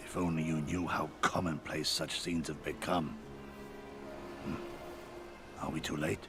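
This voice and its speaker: Someone speaks in a put-on character voice at a moderate pace. Loud background noise runs underneath. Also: man, very deep, low pitch for a man. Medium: game stream. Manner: solemn, formal.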